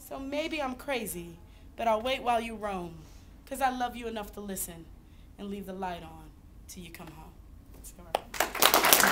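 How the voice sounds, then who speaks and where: Against loud background noise, a woman speaks at a fairly high pitch. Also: ordinary pitch variation, fairly slow pace. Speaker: slam poet. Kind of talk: slam poetry performance. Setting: live audience. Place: hall. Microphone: camera far.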